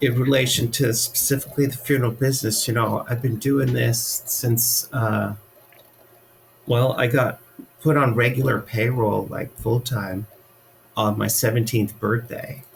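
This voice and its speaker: Over noticeable background noise, a man with an American accent speaks at a medium pitch and a fairly slow pace with fairly even intonation. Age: 60s. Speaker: funeral director. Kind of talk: interview. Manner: hesitant, many fillers.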